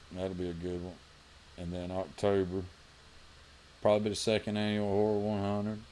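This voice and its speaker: A man with a Southern US accent speaks at a fairly quick pace in a very deep, low pitch with a dark, mellow tone and monotone, flat intonation, with audible room echo. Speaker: RC racing podcast co-host. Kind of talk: casual chat.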